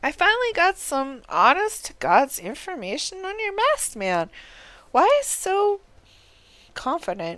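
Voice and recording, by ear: A woman's put-on character voice, high-pitched and fairly bright, fairly slow, with very wide pitch swings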